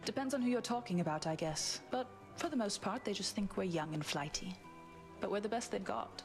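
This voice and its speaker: A woman speaks at a fairly quick pace with very wide pitch swings and very even loudness, music playing in the background. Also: medium pitch for a woman. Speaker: video game character.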